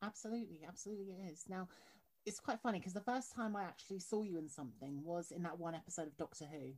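The voice is somewhat breathy, with lively intonation. It moves at a very fast pace. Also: woman, fairly low pitch for a woman. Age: 20s. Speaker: podcast host. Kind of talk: interview.

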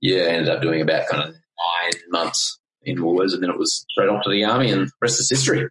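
A man with a strong Australian accent talks at a fairly quick pace and very even loudness, recorded dry and close with no echo. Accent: broad Australian. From Queensland, Australia. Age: 30s. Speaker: life coach. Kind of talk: casual interview chat.

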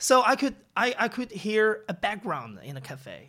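On a very clean recording with a silent background, a man talks in a Chinese accent. His tone is bright and sharp, his pace moderate. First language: Mandarin Chinese. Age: young. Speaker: podcast founder and host. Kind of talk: interview. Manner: halting.

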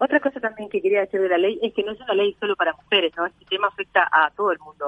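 A woman with a Uruguayan accent, medium pitch and a very fast pace. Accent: Rioplatense Spanish (Uruguayan). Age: 30s. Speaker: model and activist. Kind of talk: interview.

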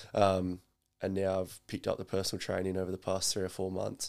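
On a very clean recording with a silent background, a man with an Australian accent talks in a very deep, low pitch with monotone, flat intonation. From South Australia. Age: 20s. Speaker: personal trainer. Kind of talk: casual chat. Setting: at home.

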